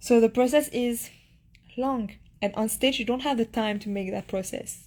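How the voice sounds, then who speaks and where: A woman's fairly high voice in a Mauritian accent, at a moderate pace with fairly even intonation. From Mauritius. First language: Mauritian Creole. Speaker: beauty pageant contestant. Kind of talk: casual chat, live stream Q&A. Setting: live Instagram stream from her room. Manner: halting, with hesitations and repeats.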